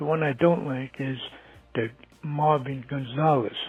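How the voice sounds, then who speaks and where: Music plays in the background as a man speaks at a fairly slow pace. His pitch is medium and his intonation fairly even. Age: 60s. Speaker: caller, baseball fan. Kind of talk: voicemail.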